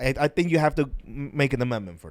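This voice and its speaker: A man speaks at a moderate pace with ordinary pitch variation, in an ordinary speaking voice. The recording is very clean, with a silent background. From immigrant to the US. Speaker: comedian and podcast co-host. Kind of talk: casual chat.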